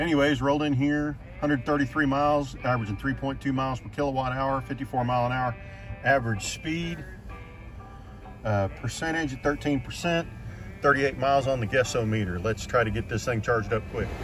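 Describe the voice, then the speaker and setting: A man talks at a moderate pace with ordinary pitch variation. The sound is dry with no echo, and music plays clearly behind him. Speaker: EV road trip vlogger. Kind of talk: casual vlog chat. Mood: pleased, relaxed. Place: car. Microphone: phone near.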